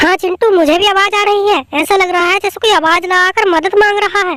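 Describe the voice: An extremely high-pitched cartoonish character voice races along at a very fast pace.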